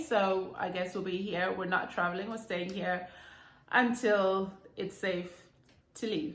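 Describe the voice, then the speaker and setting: At a fairly slow pace, a woman speaks with ordinary pitch variation, with audible room echo. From Zimbabwe, Bulawayo. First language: Ndebele. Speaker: YouTuber. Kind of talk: casual vlog chat.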